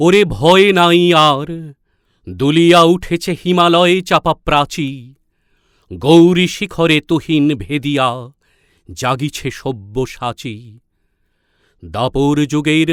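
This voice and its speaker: Recorded very cleanly with a silent background and a dry, close sound with no echo, a man speaks at a fairly high pitch with ordinary pitch variation. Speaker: reciter. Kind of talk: poetry reading. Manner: rousing, declamatory.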